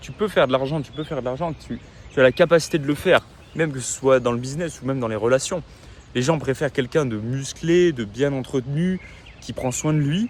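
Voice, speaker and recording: Amid noticeable background noise, a man speaks fairly quickly in an animated tone with ordinary pitch variation. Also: fairly high pitch for a man. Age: 20s. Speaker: vlogger. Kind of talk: casual vlog monologue.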